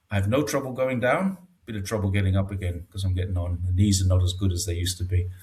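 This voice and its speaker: Somewhat breathy, a man talks at a very fast pace. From northeast England, Newcastle area. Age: 60s. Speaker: expat commentator on China. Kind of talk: casual interview. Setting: home studio, video call. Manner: hesitant, with many fillers.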